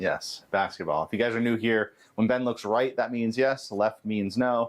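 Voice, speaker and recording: A man speaks in a normal speaking voice at medium pitch and a moderate pace. The background is quiet. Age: 30s. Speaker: caregiver livestream host. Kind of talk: casual livestream chat. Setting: livestream.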